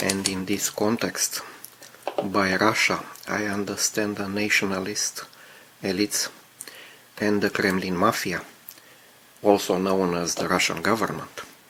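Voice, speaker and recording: Fairly slow speech with long, frequent pauses over noticeable background noise. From Romania. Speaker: scale model builder. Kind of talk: video commentary.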